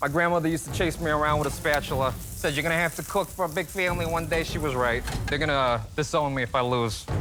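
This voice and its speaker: Against noticeable background noise, a man with an American accent speaks very fast with hardly any pauses, in a fairly high pitch with ordinary variation and very even loudness. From New York (Brooklyn, Bensonhurst). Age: 20s. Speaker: cooking show contestant, ballet dancer. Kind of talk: reality TV interview.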